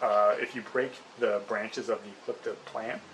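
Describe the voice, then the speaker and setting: Noticeable background noise around a male speaker. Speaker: hair loss herbal remedy video creator. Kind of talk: casual tutorial to camera. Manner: fast; hesitant, many fillers.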